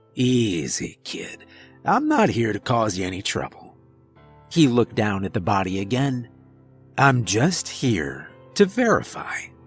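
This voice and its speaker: A man uses a raspy, put-on character voice of medium pitch at a moderate pace. Long, frequent pauses break up his speech, and faint music plays in the background. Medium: read story. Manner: casual, mischievous, laid-back.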